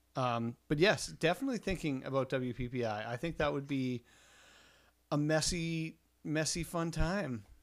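A man's unremarkable speaking voice, fairly high in pitch, on a very clean recording with a silent background. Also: ordinary pitch variation, fairly slow pace. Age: middle-aged. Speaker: photographer podcast co-host. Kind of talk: casual chat.

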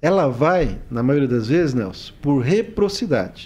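This man has a fairly high pitch, lively intonation and an unremarkable speaking voice. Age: 40s. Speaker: social worker and regional sports official. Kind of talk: podcast interview.

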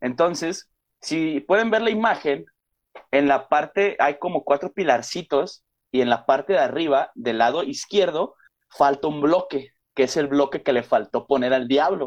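A man speaks with a Mexican accent. His voice is fairly high, with lively intonation. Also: fairly slow pace. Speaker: podcast host. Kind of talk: casual chat.

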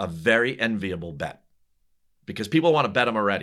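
A bright, sharp voice with an American accent comes through in a very clean recording with a silent background. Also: man. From US Northeast (New Jersey). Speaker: golf betting analyst, former golf teaching pro. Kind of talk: casual interview chat.

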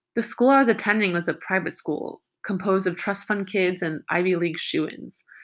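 A woman with a plain, everyday voice speaks at medium pitch and a fairly quick pace with ordinary pitch variation, on a very clean recording with a silent background. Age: 20s. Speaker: vlogger. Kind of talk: personal testimony.

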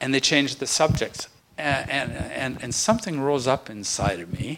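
At a moderate pace, a man talks in an unremarkable speaking voice with medium pitch and ordinary pitch variation. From Manitoba, Canada. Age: 60s. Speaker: pastor. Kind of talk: talk at a pastors' round table.

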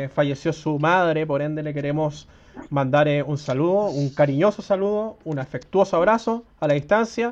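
A man's ordinary speaking voice, fairly high in pitch, with ordinary pitch variation and a moderate pace. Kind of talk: interview.

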